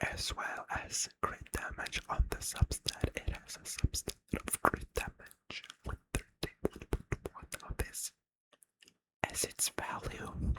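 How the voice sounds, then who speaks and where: A man whispers at a very slow pace. The sound is dry and close, with no echo. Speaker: ASMR gaming creator. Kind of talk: ASMR game guide explanation. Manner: whispered, soft-spoken.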